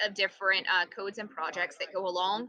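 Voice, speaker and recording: A woman speaks with a slight Southern US accent. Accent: slight Southern twang. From US Southeast. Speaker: computer science teacher. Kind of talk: tutorial. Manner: animated.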